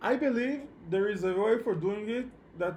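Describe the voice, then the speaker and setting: A man with a non-native accent speaks with ordinary pitch variation amid audible room echo. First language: not English. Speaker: programming instructor. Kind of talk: online lecture. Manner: halting, many repetitions and fillers.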